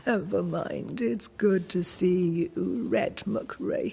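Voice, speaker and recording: Very slow pace and middle pitch in a put-on character voice. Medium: video game. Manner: cryptic, calm.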